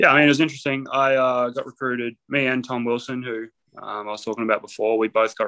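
This man talks at a very fast pace in an Australian accent, with a bright, sharp tone. His intonation stays fairly even over a quiet background. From North Queensland, Australia. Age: 20s. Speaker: professional basketball player. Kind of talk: casual interview.

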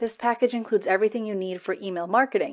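A woman with a General American accent speaks in an unremarkable speaking voice, her fairly high pitch carried by lively intonation over a quiet background. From United States. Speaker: marketing agency owner and podcast host. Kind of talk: solo podcast monologue, conversational with a promotional tone.

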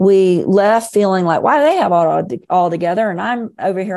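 A woman at medium pitch with a dark, mellow tone and an American accent, at a moderate pace, on a very clean recording with a silent background. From Florida. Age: 50s. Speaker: author and emotional healing coach. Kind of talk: interview, personal storytelling.

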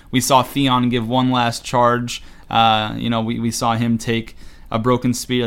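On a very clean recording with a silent background, a man speaks. His pitch is medium. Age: 20s. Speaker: podcast co-host. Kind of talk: casual chat. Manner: animated.

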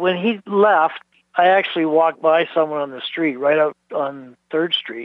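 A man with an unremarkable speaking voice, a fairly high pitch and ordinary pitch variation. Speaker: childhood neighbour of missing person. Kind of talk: casual reminiscing interview.

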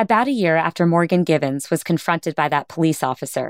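Over a very clean recording with a silent background and a dry, close sound with no echo, a woman with a plain, everyday voice talks at a fairly quick pace, her fairly low pitch moving in lively intonation. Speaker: podcast host interviewer. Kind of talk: interview.

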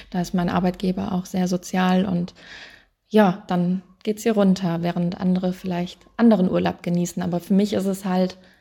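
A dark, mellow, somewhat breathy voice speaks at a moderate pace in a very clean recording with a silent background. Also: woman. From western Germany, Wuppertal (NRW). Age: 30s. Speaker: animal welfare volunteer. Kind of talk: interview. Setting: animal shelter in Romania.

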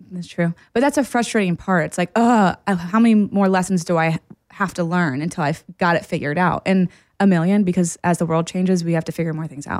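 Fairly low-pitched, a woman speaks in an unremarkable speaking voice at a fairly quick pace with ordinary pitch variation. The recording is very clean and dry, close with no echo, on a silent background. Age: 30s. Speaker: podcast co-host, therapist. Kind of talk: casual chat.

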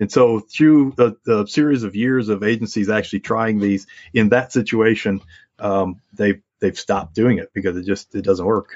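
An ordinary speaking voice with fairly even intonation and an American accent. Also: man, fairly low pitch for a man, moderate pace. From US Midwest (Aurora, Illinois, near Chicago; also Wisconsin). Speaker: wildlife biologist. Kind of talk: interview.

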